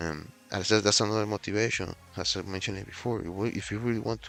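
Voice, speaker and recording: Over music in the background, a man with a fairly low pitch speaks very fast with fairly even intonation. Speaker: fitness vlogger. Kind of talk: casual vlog talk to camera. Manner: halting, many fillers and restarts.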